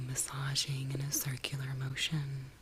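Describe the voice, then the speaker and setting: Soft-spoken and at a very slow pace, a woman talks with a very deep, low pitch over noticeable background noise. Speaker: somatic and ASMR guide. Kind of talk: guided somatic practice, soft spoken ASMR. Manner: soft-spoken, slow, calming.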